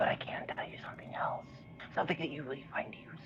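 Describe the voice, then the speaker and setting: Whispering comes at a very fast pace. It is a put-on character voice. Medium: actual play. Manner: playful, teasing.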